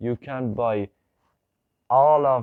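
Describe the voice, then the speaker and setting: A man with a non-native accent talks at a medium pitch. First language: not English. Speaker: YouTuber. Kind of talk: video monologue. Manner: halting.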